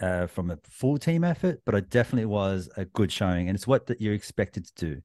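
A man with an Australian accent speaks at a fairly quick pace with a very deep, low pitch. The background is quiet. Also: dry, close sound with no echo. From New South Wales, Australia. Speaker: sports podcaster. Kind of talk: casual chat.

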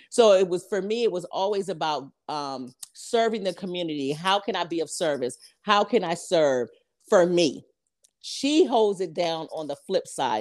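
Recorded very cleanly against a silent background, a woman with a normal speaking voice and a fairly low pitch speaks at a moderate pace with lively intonation. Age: 50s. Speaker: podcast co-host and business owner. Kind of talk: casual chat.

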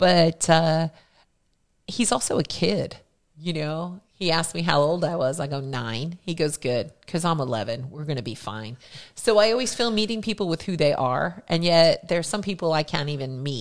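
In a very clean recording with a silent background, a woman speaks at a moderate pace in a normal speaking voice. Her pitch is fairly low, and her intonation is lively. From Philadelphia and New Jersey, US. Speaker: hairdresser and beauty educator. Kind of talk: casual chat.

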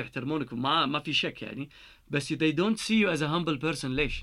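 On a very clean recording with a silent background, a man talks at a fairly quick pace in a fairly high pitch, his tone bright and sharp, with ordinary pitch variation. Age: 30s. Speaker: engineer turned world traveler. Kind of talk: casual interview chat. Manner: frequent Arabic-English code-switching.

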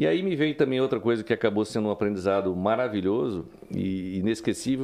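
A man with a plain, everyday voice, medium pitch and a fairly quick pace. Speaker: journalist. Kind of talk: interview. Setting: studio.

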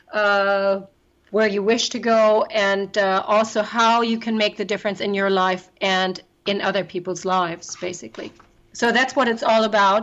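A woman talks with a German accent. Her pitch sits in the medium range. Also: moderate pace. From Germany. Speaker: travel business owner and life coach. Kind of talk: interview.

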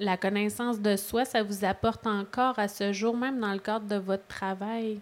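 Speaking very slowly in a flat monotone with a Quebec accent, this voice comes through on a very clean recording with a silent background. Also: woman. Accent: Québécois French. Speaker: podcast host, mental health organization. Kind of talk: interview. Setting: live podcast with audience.

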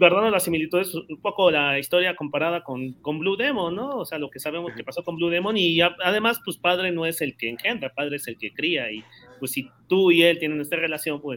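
A man with a Mexican accent talks at a fairly quick pace in a high-pitched voice. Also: ordinary pitch variation. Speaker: podcast co-host. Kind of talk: casual chat.

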